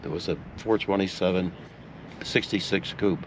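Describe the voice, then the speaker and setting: A man speaks at a moderate pace with a very deep, low pitch. Noticeable background noise runs beneath his voice. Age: 80s+. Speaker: retired racing car owner. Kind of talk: interview answer. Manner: storytelling, conversational.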